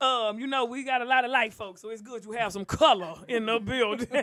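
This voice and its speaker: This woman has a high-pitched voice with a Southern accent. Her tone is animated, bright and sharp. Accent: talks like the Southern guest. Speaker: comedian and podcast co-host. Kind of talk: casual comedic chat. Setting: live streamed show.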